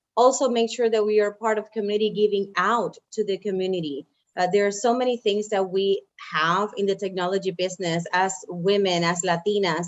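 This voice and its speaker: A woman speaks with a Spanish accent at a fairly quick pace. Her pitch is medium and her intonation fairly even. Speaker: engineering program manager. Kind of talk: panel discussion. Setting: video call.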